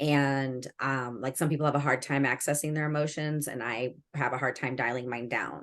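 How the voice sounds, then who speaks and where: Against a quiet background, a woman with a very deep, low pitch talks at a moderate pace with hardly any pauses. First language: Spanish or Greek. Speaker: school educator and administrator. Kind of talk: casual chat. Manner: animated.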